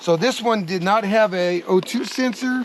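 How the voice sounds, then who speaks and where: Noticeable background noise sits under this recording. A man speaks at a high pitch with ordinary pitch variation. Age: 60s. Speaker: motorcycle reviewer and rider. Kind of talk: casual video review.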